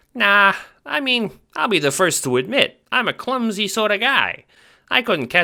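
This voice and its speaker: A squeaky put-on character voice, fairly high in pitch, at a moderate pace in a very clean recording with a silent background. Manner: mobster-like.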